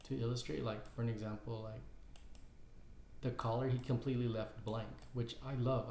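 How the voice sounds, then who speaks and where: A man at medium pitch speaks in a monotone, flat way, with audible room echo. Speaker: caricature artist and YouTuber. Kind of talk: casual tutorial. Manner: halting, many fillers and repeats.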